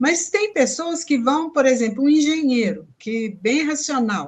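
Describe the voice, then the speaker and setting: A woman is speaking. Her intonation is lively. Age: 70s. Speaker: peace education course participant. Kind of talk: casual chat on a live stream.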